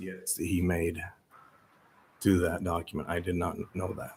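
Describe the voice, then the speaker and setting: His voice is somewhat breathy. The man's pitch sits very deep and low. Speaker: city staff member. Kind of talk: public meeting discussion. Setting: city planning commission meeting. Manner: halting.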